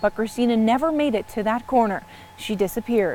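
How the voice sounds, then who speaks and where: A woman's fairly quick speech with ordinary pitch variation over noticeable background noise. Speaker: TV news reporter. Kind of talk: TV news report.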